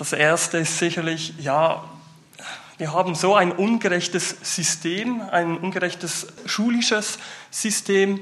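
Against noticeable background noise, a man with a high pitch speaks at a very slow pace with fairly even intonation. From Switzerland, Basel-Landschaft. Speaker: youth worker. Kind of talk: panel discussion.

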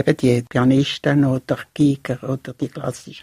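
A woman's very deep, low voice, somewhat breathy, at a fairly slow pace with fairly even intonation. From Switzerland, Basel. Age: 70s. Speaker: retired puppeteer. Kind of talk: casual chat. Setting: studio.

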